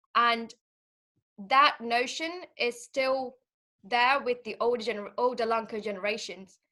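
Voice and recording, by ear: Fairly high-pitched and bright, a woman's voice has a sharp tone. She speaks fairly slowly with fairly even intonation.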